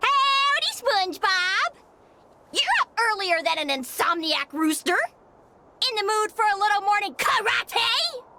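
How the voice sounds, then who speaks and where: In a put-on character voice, a female-sounding speaker uses an extremely high pitch at a moderate pace, with long, frequent pauses. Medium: video game. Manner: folksy country sayings.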